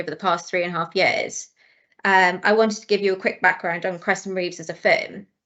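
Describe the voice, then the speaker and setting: This woman speaks with a Welsh accent at a medium pitch. Her pace is fairly quick. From South Wales, near Swansea. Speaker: chartered accountant. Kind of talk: webinar talk.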